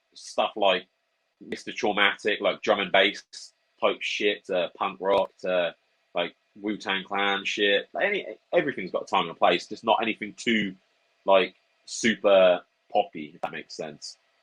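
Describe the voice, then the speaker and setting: A man with a Norfolk accent at a moderate pace, long pauses coming often, the sound dry and close with no echo. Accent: Norfolk, rural English. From England, Norfolk. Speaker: interview guest. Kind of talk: casual interview chat.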